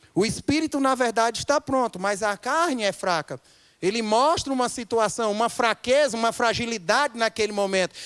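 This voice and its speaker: The voice is animated in tone, recorded with a dry, close sound and no echo. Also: man, very clean recording, silent background. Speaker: pastor. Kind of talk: sermon.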